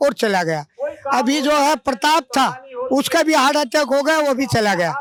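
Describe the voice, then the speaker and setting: The man's voice sits at an extremely high pitch. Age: 70s. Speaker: retired transport worker, protester. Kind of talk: street interview at protest.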